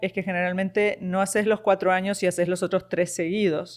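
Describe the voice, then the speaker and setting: Speaking in a Uruguayan accent at a moderate pace, a woman keeps a monotone, flat intonation at medium pitch. The background is quiet. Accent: Rioplatense Spanish (Uruguayan). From Uruguay, Montevideo. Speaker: nurse practitioner. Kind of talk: interview conversation.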